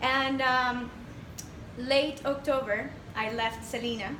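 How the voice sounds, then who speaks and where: Over noticeable background noise and audible room echo, a woman talks at a high pitch with a Spanish accent. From Panama. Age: 20s. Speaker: entrepreneur. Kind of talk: presentation to audience. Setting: stage with audience.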